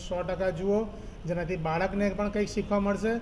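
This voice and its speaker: Over noticeable background noise and audible room echo, a man talks in a flat, monotone way. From India, Vadodara (Gujarat). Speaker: film producer. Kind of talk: press interview.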